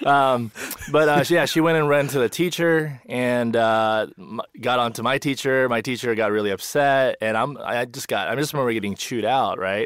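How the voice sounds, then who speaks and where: A man talks at a moderate pace with hardly any pauses, his medium pitch varying in an ordinary way. Noticeable background noise sits behind him. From USA, Korean-born, raised in America from age five. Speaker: pastor. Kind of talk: casual chat.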